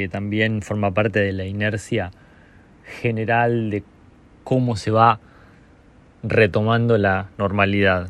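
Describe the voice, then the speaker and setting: A man talks in a normal speaking voice, fairly low in pitch, at a fairly slow pace with fairly even intonation. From Argentina, La Pampa province (small rural town). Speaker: singer-songwriter. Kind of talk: recorded narration presenting his music.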